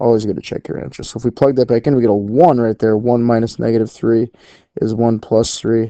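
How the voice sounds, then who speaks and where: Against a quiet background, a man with a dark, mellow tone and medium pitch speaks fairly quickly with fairly even intonation, the sound dry and close with no echo. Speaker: math teacher. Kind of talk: lecture. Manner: casual, with fillers.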